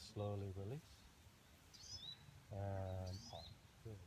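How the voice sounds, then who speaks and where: Over noticeable background noise, a man speaks at a fairly slow pace in a somewhat breathy voice, the sound dry with no echo. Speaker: yoga instructor. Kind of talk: yoga class instruction cues. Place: garden.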